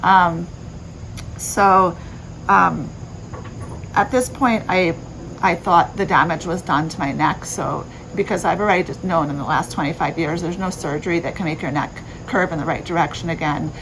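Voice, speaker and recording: Noticeable background noise sits behind a woman speaking at a moderate pace with a fairly low pitch and ordinary pitch variation. Her speech has long, frequent pauses. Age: 40s. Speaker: vlogger. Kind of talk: personal vlog explanation. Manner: halting, many fillers.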